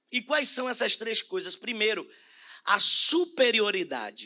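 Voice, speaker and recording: A man's raised, projected voice, bright and sharp in tone, with very wide pitch swings, in a very clean recording over a silent background. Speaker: bishop preaching. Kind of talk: sermon. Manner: slow, deliberate.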